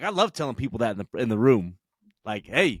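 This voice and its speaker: In a very clean recording with a silent background and a dry, close sound with no echo, a man talks loudly at a very fast pace, with very wide pitch swings and vocal fry. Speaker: podcast host in addiction recovery. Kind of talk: casual chat. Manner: animated.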